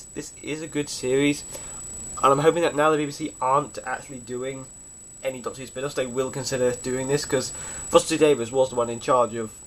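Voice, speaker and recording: Talking at a very fast pace, a man speaks with a British accent. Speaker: fan video reviewer. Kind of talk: casual DVD review monologue. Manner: stutters a little, halting.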